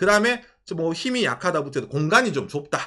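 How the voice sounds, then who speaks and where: A man talks in a raised, projected voice with an animated tone. His tone is bright and sharp. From South Korea, Ulsan (Gyeongsang). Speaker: YouTuber. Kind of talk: casual chat. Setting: live stream.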